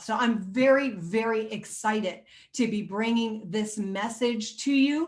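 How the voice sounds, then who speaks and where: A woman is speaking. Her pitch sits fairly high and her voice has a somewhat breathy quality. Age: 60s. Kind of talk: interview introduction. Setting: recording room with guests joining on video call.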